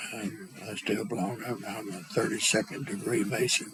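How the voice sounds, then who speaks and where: Over noticeable background noise, a man talks at a moderate pace. He speaks with an Arkansas accent. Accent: Southern US, Arkansas. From US South, Arkansas. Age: 70s. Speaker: interviewee grandfather. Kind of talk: oral history interview. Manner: halting.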